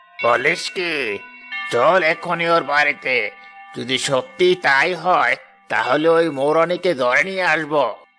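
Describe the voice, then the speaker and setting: A man does a cartoonish character voice at a fairly high pitch and a fairly slow pace. Faint music plays in the background. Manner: greedy, scheming.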